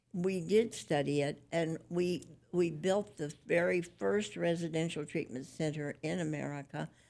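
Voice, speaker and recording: The voice carries vocal fry on a very clean recording with a silent background. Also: woman. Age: 90s. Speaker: charity co-founder. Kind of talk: interview. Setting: studio.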